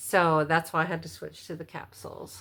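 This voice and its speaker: A woman speaks with a very deep, low pitch and a bright, sharp tone. The recording is very clean, with a silent background. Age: 50s. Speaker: vlogger. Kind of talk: casual vlog monologue. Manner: halting, stutters.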